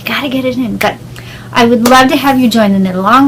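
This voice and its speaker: With noticeable background noise behind her, a woman talks with lively intonation in an American accent. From southwestern Pennsylvania. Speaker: podcaster and indie yarn dyer. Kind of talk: casual podcast monologue.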